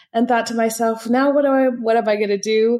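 A woman's fairly high voice with a dark, mellow tone at a moderate pace. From northern California, US. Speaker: pricing consultant. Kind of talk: interview.

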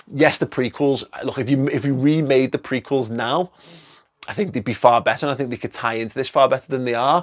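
A man with an English accent, medium pitch, an animated tone, ordinary pitch variation and a very fast pace, in a dry, close sound with no echo. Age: 30s. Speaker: film reviewer. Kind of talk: video review monologue. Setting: studio.

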